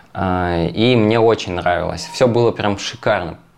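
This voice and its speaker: A man with a normal speaking voice talks at a moderate pace. His pitch is fairly low. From Russian Far East, Magadan. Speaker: yoga teacher. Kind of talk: podcast interview.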